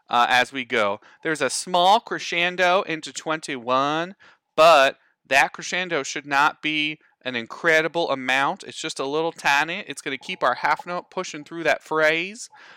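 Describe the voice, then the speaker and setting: A man talks at a moderate pace and fairly high pitch, with ordinary pitch variation and a bright, sharp tone. The sound is dry and close with no echo, on a very clean recording with a silent background. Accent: American. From not the US South. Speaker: band teacher. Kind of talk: educational podcast lesson. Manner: chatty, halting, with repetitions.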